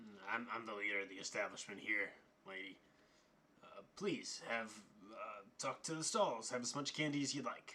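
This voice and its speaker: A man's put-on character voice, raspy and medium in pitch. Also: moderate pace. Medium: actual play. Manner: evasive, deflecting.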